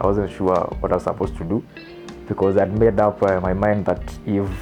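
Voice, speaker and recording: Music plays behind a man whose voice sits fairly low in pitch. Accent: Kenyan. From Meru, Kenya. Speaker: lawyer and film director. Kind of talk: interview answer. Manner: casual, mixing English and Swahili.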